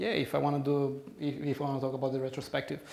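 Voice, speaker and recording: Speaking at a very fast pace, a man with a Brazilian accent has a fairly high pitch. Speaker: conference speaker. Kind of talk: conference talk with audience Q&A. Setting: stage with audience. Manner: halting, many repetitions.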